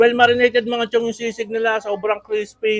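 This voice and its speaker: A man speaks at a fairly quick pace in an extremely high pitch. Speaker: food vlogger. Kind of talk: casual food review vlog. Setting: on location at a food stall. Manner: animated.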